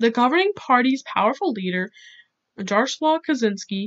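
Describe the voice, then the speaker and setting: Lively intonation from a woman. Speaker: YouTuber who paints and educates. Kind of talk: educational talk to camera, reading quotes from articles. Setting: home recording, poor audio. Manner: awkward.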